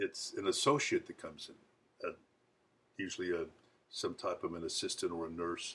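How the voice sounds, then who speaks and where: Moderate speed from a man, with long, frequent pauses. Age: 60s. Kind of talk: casual video monologue. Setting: home kitchen.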